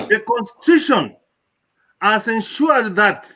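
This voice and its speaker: A man talks in a raised, projected voice with a bright, sharp tone. His intonation is lively. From Kenya. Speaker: professor. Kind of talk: speech. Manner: halting.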